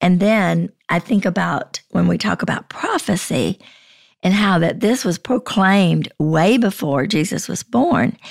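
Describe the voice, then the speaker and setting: At a fairly slow pace, a woman with a medium pitch and vocal fry speaks with lively intonation in a dry, close sound with no echo. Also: very clean recording, silent background. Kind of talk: casual Bible discussion.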